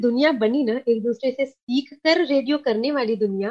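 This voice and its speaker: A woman's voice sits high in pitch. Lively intonation runs through her speech. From Kolkata, West Bengal. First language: Sindhi (speaking Hindi). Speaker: community radio station head. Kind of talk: casual interview.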